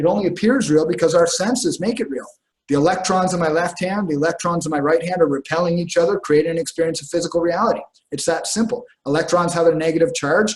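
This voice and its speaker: A man with a high voice talks at a very fast pace. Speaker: spiritual teacher. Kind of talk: lecture. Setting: stage with audience. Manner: halting.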